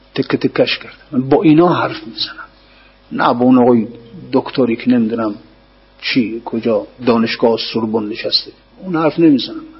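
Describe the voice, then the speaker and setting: There is noticeable background noise as a man speaks at a moderate pace with ordinary pitch variation. He leaves long, frequent pauses. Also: medium pitch for a man, big swings in loudness. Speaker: religious scholar teaching poetry commentary. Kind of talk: lecture.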